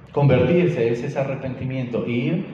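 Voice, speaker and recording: There is audible room echo and noticeable background noise behind this man's voice. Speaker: preacher. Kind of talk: sermon.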